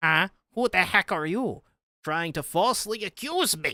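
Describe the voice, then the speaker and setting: A put-on character voice at a middle pitch speaks at a moderate pace on a very clean recording with a silent background. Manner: indignant, accusing.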